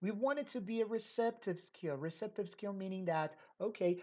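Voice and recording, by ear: A woman speaks at a moderate pace. Her tone is slightly mellow.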